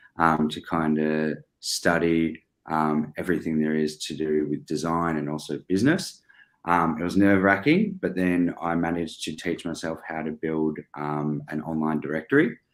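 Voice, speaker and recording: Speech comes at a moderate pace in an Australian accent, with monotone, flat intonation. The recording is very clean, with a silent background. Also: man, very deep, low pitch for a man. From Australia, Melbourne. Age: 20s. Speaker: business owner. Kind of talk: interview. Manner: hesitant, many fillers.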